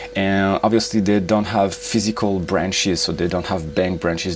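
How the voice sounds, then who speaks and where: A man speaks with a French accent at a moderate pace. His pitch is fairly low, and noticeable background noise is present. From France. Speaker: YouTuber, travel and finance reviewer. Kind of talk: product review. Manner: hesitant, many fillers.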